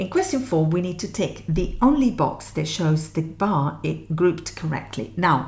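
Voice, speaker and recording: A woman talks fairly slowly, with audible echo from the room. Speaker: music theory teacher. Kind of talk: tutorial.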